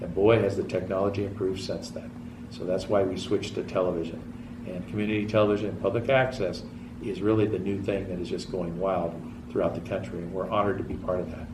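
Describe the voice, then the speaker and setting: Audible room echo surrounds a man speaking at a very fast pace and fairly low pitch. His intonation stays fairly even. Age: 60s. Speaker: TV show host. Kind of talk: public access TV talk show monologue. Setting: TV studio.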